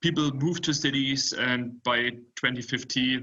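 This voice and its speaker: An unremarkable speaking voice from a man, medium in pitch, fairly slow and fairly even in intonation. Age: 20s. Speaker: startup founder. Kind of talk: panel presentation.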